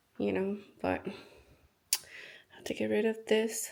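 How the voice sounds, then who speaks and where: A woman with a Spanish accent. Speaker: vlogger. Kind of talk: casual vlog talk.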